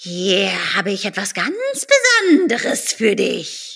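At a fairly slow pace, a female-sounding voice performs a put-on character voice at a medium pitch. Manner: conspiratorial, incantatory, creepy.

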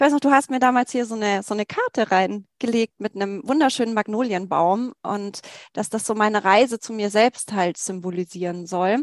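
A woman with an ordinary speaking voice, fairly high in pitch with ordinary pitch variation, at a moderate pace. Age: 40s. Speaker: teacher and former course participant. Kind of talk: interview testimony.

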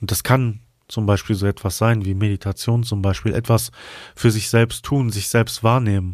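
A man with a normal speaking voice, fairly low in pitch, talks with fairly even intonation on a very clean recording with a silent background. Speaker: podcast host and flute player. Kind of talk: guided meditation. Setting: studio with flute music in background. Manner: slow, soothing, calm; soft-spoken, gentle.

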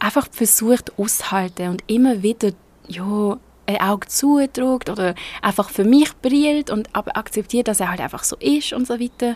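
A woman in a Swiss accent, fairly high in pitch with ordinary pitch variation, at a moderate pace, in a dry, close sound with no echo. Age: 20s. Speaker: podcaster. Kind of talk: personal monologue. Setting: outdoors. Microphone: laptop mic under an umbrella.

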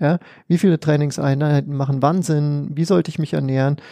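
Against a quiet background, a dark, mellow tone comes through with a dry, close sound and no echo, fairly even intonation and a moderate pace. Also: man. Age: 30s. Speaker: sports psychologist. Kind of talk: interview.

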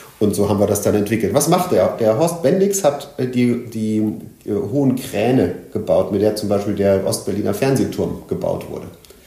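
A man at a medium pitch talks at a moderate pace with lively intonation. Noticeable background noise and audible room echo fill the recording. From Germany, Sauerland (born in Leipzig). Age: 50s. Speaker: tech entrepreneur, head of innovation agency. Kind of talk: interview.

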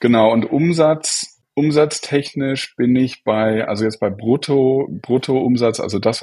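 A man speaking at a very slow pace. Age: 40s. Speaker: software entrepreneur. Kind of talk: interview.

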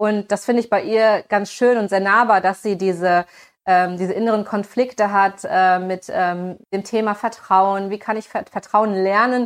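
A woman's medium-pitched voice at a moderate pace, with fairly even intonation over a quiet background. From Germany, small town. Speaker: voice actress. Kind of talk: interview. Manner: hesitant, many fillers.

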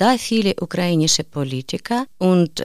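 A woman speaks at a very slow pace with lively intonation. Her pitch is fairly low. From Ukraine. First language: Ukrainian or Russian (speaking German). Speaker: refugee, course participant. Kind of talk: reading aloud.

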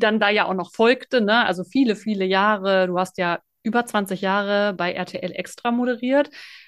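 Over a quiet background, a woman with an unremarkable speaking voice talks at a moderate pace in a fairly high pitch with fairly even intonation. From Sauerland, Germany. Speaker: podcast host. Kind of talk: interview.

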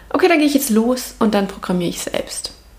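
The voice shows ordinary pitch variation. Noticeable background noise runs beneath it. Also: woman. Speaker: podcast host. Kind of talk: solo reflective monologue. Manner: casual, with filler sounds and laughter.

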